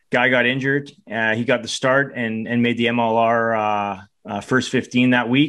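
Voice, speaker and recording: A man with a Canadian accent speaks at a medium pitch in a monotone, flat intonation. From Canada. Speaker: podcast co-host and rugby coach. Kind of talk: casual podcast chat.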